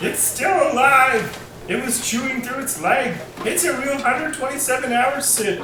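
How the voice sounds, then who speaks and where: A put-on character voice with a high pitch comes at a moderate pace, with slight echo and clear background noise. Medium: audio drama. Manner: flat, earnest, oblivious.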